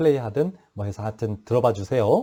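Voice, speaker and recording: Here a man talks at a fairly quick pace and medium pitch, his dark, mellow tone showing ordinary pitch variation. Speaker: professor. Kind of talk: lecture. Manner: fast.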